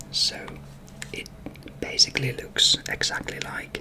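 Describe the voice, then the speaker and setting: Noticeable background noise runs beneath a very slow whisper. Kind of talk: ASMR whisper ramble to camera. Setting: bedroom. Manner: whispered, soft-spoken.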